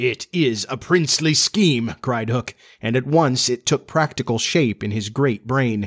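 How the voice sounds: Just a natural reading voice.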